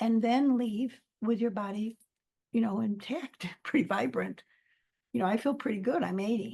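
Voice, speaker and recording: Fairly high-pitched and dark, mellow in tone, a woman's voice moves with ordinary pitch variation. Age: 70s. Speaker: author and life counselor. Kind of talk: interview. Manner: halting.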